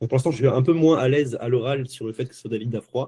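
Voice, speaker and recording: A man talks at a fairly quick pace with fairly even intonation. His dark, mellow, somewhat breathy voice has a dry, close sound with no echo. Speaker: sales closer coached live. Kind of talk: live coaching session. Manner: fast.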